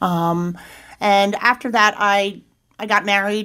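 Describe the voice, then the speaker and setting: On a very clean recording with a silent background, a woman talks at a medium pitch in a bright, sharp tone with monotone, flat intonation. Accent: Philadelphia. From Pennsylvania, Chester County. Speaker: addiction treatment intake worker in recovery. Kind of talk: interview testimony.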